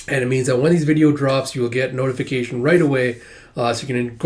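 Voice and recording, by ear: Someone reads the text aloud in a natural voice, keeping the intonation fairly even.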